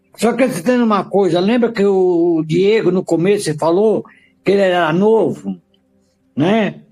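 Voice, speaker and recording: A high male voice with a dark, mellow tone, ordinary pitch variation, very even loudness and a moderate pace. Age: 70s. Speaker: bible study participant. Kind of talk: group discussion.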